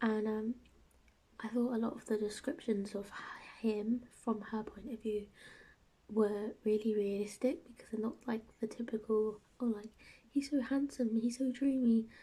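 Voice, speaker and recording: In a British accent, this soft-spoken voice leaves long, frequent pauses. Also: moderate pace. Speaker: book reviewer. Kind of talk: casual book review vlog. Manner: soft-spoken, talking quietly.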